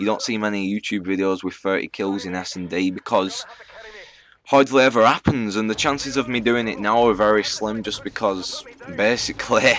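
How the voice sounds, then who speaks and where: With a northern English accent, a man speaks at a moderate pace and a fairly low pitch. His intonation is fairly even, and background noise is noticeable. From northern England. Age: 20s. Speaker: gaming YouTuber. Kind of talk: casual Q&A commentary. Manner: casual, hesitant with fillers.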